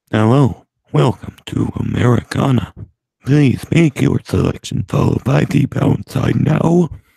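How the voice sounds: Putting on a character voice, a man speaks at a moderate pace with a medium pitch.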